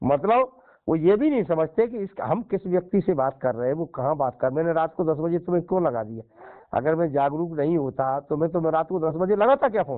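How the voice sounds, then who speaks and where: With an unremarkable speaking voice, a man speaks at a moderate pace and a fairly high pitch. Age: 60s. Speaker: Buddhist monk and social activist. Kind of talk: casual phone conversation.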